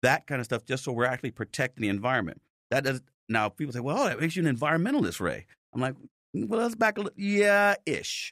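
A man with an American accent talks very fast at a fairly high pitch, with very wide pitch swings. The recording is very clean with a silent background and a dry, close sound with no echo. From Chicago, South Side. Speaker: police officer and political candidate. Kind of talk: interview. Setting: studio.

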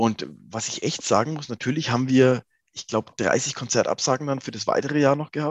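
An ordinary speaking voice from a man, medium in pitch with ordinary pitch variation, at a fairly quick pace. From Lower Franconia, Germany. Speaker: rock singer. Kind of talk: interview.

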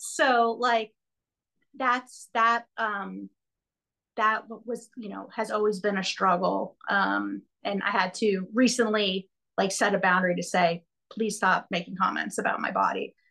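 Bright, sharp tone from a woman at medium pitch, with vocal fry, a fairly slow pace, fairly even intonation and a quiet background. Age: 40s. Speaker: helping professional working with children, podcast guest. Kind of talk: personal testimony in a coaching session.

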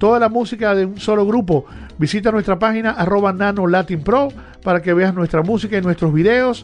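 A man with a high voice talks at a fairly quick pace with ordinary pitch variation. Background noise is noticeable. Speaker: radio host. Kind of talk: casual chat. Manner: halting.

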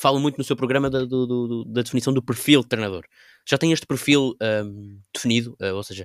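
In a very clean recording with a silent background and a dry, close sound with no echo, a man speaks at medium pitch with ordinary pitch variation. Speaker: podcast co-host. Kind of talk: interview. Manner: halting.

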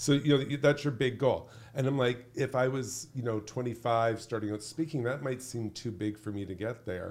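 With hardly any pauses, a man speaks at a moderate pace in a plain, everyday voice, medium in pitch with ordinary pitch variation. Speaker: leadership speaker and author. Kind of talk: casual interview conversation.

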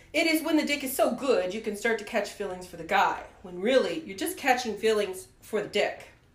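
A woman with an American accent talks at a fairly quick pace with hardly any pauses, her fairly high pitch swinging very widely. Her loudness swings a lot, and noticeable background noise is present. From US Midwest, rural Ohio. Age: 40s. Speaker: podcast host. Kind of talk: casual chat.

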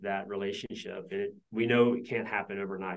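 Talking at a fairly quick pace, a man with an American accent keeps a fairly low pitch in a monotone, flat intonation. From US South (Georgia). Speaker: business founder. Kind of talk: interview.

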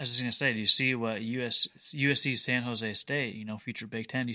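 A man talks at a very fast pace in a bright, sharp tone. The recording is very clean, with a silent background. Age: 30s. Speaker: sports podcast co-host. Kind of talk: casual chat.

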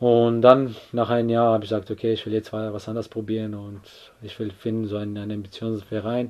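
A man speaks fairly quickly in a fairly low voice with flat, monotone intonation. His loudness swings a lot. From Croatia, Split. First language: Croatian (speaking German). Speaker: footballer. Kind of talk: casual interview. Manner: halting.

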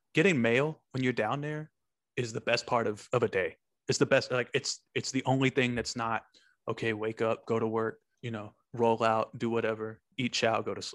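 On a very clean recording with a silent background and a dry, close sound with no echo, a man speaks at a medium pitch and a moderate pace with an American accent. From Texas (Wichita Falls), later California. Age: 30s. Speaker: army soldier, podcaster. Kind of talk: casual interview chat. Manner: halting, many fillers.

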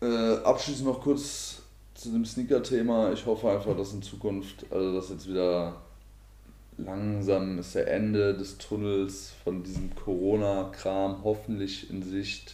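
A man speaks at a very slow pace. Audible room echo is present. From Hesse, Germany (Marburg). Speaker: podcast co-host. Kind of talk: casual chat.

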